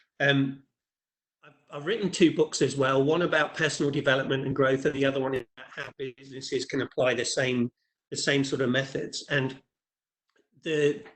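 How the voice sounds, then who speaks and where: A man with an English accent speaks with fairly even intonation. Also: fairly high pitch for a man, moderate pace, big swings in loudness. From England. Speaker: leadership trainer. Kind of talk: webinar presentation. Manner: halting, with many repeated words.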